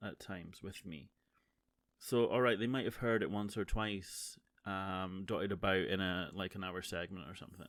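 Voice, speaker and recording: Speaking at a moderate pace, the man has a fairly low pitch and ordinary pitch variation. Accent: Scottish. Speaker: streamer and podcaster. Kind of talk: casual monologue. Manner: halting.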